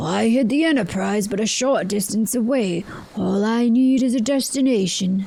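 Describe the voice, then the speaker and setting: At a moderate pace, a woman uses a put-on character voice with a fairly high pitch and very even loudness, over light background noise. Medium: video game. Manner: brisk, dry.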